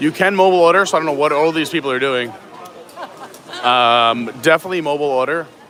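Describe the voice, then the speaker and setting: A fairly high-pitched man in an American accent, ordinary pitch variation, with noticeable background noise. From New York (Suffolk County, Long Island). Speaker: live-stream vlogger. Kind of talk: live-stream walking tour. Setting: outdoors and indoors at a theme park.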